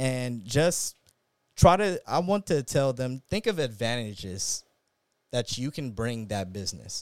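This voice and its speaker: In a dry, close recording with no echo, a man talks at a fairly slow pace in a medium pitch that swings very widely. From Inglewood, Los Angeles. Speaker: restaurant owner. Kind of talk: casual interview.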